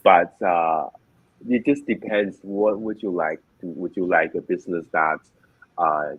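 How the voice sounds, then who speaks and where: In a Chinese accent, the speaker goes at a fairly slow pace with long, frequent pauses and ordinary pitch variation. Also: man, very deep, low pitch for a man. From China. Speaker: online business owner. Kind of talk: interview. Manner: halting.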